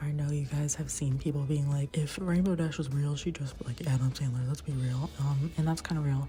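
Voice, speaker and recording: Someone is whispering over noticeable background noise. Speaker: art youtuber. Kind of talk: casual chat. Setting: library room.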